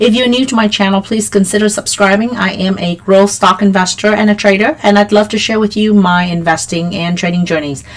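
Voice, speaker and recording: Over noticeable background noise, a woman speaks at a medium pitch and a fairly quick pace with fairly even intonation. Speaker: stock market youtuber. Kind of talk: market analysis tutorial. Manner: frequent fillers (um, uh).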